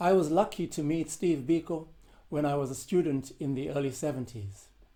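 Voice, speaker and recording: The voice has a dark, mellow tone and ordinary pitch variation. It moves at a moderate pace. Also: man. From South Africa. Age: 70s. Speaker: composer and percussionist. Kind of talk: answering interview questions, prepared monologue. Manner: formal.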